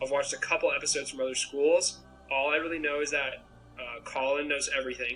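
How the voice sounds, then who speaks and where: A man with an American accent at a very fast pace, music playing in the background. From Maine, US (Portland). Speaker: student contestant. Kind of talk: interview. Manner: hesitant, many fillers.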